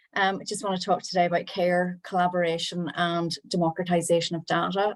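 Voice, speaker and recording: A woman's fairly low, monotone, flat voice in a Northern Irish accent at a fairly quick pace, on a very clean recording with a silent background. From Northern Ireland. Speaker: town planner. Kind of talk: panel presentation.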